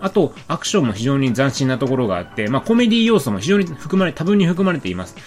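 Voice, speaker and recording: A man talks at a very fast pace with hardly any pauses, his fairly high pitch making very wide swings. Music plays in the background. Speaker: film podcast host. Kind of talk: solo film review.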